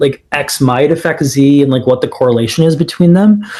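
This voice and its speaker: This man has a dark, mellow tone and a somewhat breathy delivery. He speaks with an American accent. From Phoenix, Arizona, USA. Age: 20s. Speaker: startup founder. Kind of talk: podcast interview answer. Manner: casual, filler-heavy.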